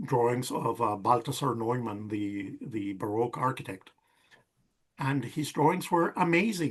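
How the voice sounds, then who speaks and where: A man's somewhat breathy, medium-pitched voice at a fairly slow pace, with lively intonation. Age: 60s. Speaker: semi-retired architect. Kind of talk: casual interview chat.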